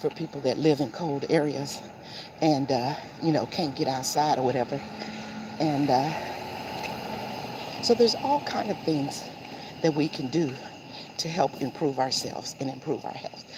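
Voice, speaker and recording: A woman with an American accent and a very deep, low pitch, at a moderate pace with ordinary pitch variation and long, frequent pauses, over noticeable background noise. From Seattle, Washington, US. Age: 60s. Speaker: lifestyle vlogger. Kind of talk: casual vlog talk while walking. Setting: outdoors on a morning walk.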